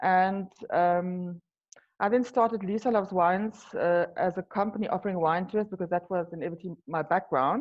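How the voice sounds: This woman talks at a moderate pace, her pitch fairly low. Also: ordinary pitch variation.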